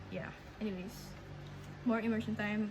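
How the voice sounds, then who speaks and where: A woman with a Filipino accent over noticeable background noise. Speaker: language learner vlogger. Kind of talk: casual vlog update. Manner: halting, many fillers and restarts.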